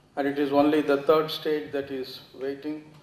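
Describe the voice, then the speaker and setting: There is audible room echo around a man's voice. He speaks at a moderate pace with a fairly high pitch. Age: 80s+. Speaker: audience member asking questions. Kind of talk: Q&A after a lecture. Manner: formal.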